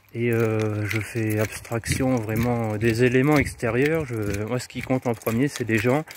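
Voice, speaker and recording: Over noticeable background noise, a man with a medium pitch speaks at a very slow pace with fairly even intonation. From France, Moselle (north-east). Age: 30s. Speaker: local councillor and vlogger. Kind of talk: casual live vlog answering viewer questions. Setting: outdoors, walking street delivering flyers. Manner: hesitant, many fillers.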